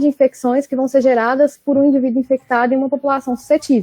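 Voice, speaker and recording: Talking at a very fast pace, a woman uses a high voice with a dark, mellow tone. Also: dry, close sound with no echo. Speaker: graduate researcher presenting her work. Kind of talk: academic webinar talk. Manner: animated.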